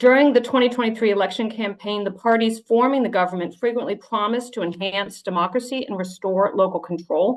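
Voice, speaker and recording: A woman with an American accent, a plain, everyday voice, ordinary pitch variation and a moderate pace. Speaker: submitter, PhD student and ecologist. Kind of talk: reading a prepared oral submission. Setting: video call to a parliamentary committee.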